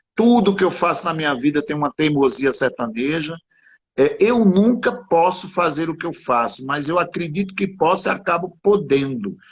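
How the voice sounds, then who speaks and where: With a plain, everyday voice, a man speaks at a moderate pace, his fairly high pitch carrying lively intonation. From Sertânia, Pernambuco, Brazilian Northeast. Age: 50s. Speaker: writer. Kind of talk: interview conversation.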